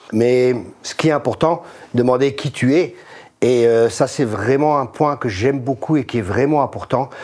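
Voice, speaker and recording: Medium pitch, ordinary pitch variation and a fairly slow pace from a man with a plain, everyday voice. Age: 60s. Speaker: pastor. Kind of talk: casual chat.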